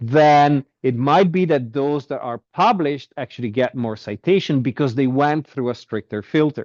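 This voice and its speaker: This man has an unremarkable speaking voice, fairly high in pitch with ordinary pitch variation. He keeps a moderate pace with hardly any pauses. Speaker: university lecturer. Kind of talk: lecture.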